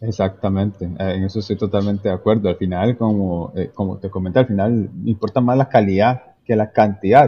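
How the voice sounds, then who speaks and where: Talking at a fairly quick pace with hardly any pauses, a man uses a fairly low pitch and fairly even intonation. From Costa Rica, Limón province. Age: 30s. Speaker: civil engineer and entrepreneur. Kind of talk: interview conversation. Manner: halting, many fillers.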